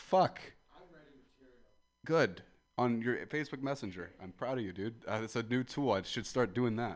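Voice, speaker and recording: Over music in the background, a man speaks at a moderate pace and medium pitch with ordinary pitch variation, big swings in loudness and long, frequent pauses. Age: 20s. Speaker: comedian. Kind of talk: stand-up. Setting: outdoors.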